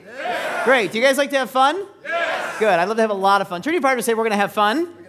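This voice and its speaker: Over crowd noise, a man talks at a very fast pace in an extremely high pitch, his tone energetic and his intonation lively. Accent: American. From US West Coast, San Francisco Bay Area. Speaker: business speaker. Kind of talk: seminar presentation. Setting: stage with audience. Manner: energetic, interactive.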